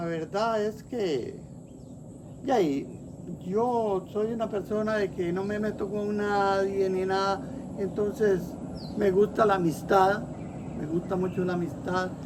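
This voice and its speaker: Long, frequent pauses break up very slow speech, with noticeable background noise throughout. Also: man, high pitch for a man. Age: 70s. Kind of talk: interview answer. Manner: warm, cheerful.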